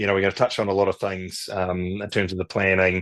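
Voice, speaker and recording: Recorded against a quiet background, a man's voice comes across dry and close, with no echo. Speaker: native tree restoration business founder. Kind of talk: webinar presentation. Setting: online webinar. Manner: fast; animated.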